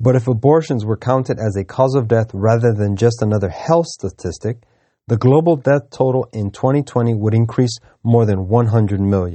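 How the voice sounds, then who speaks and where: A man speaks at a moderate pace with a medium pitch. It is a normal speaking voice. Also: ordinary pitch variation. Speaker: news reader. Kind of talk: news reading.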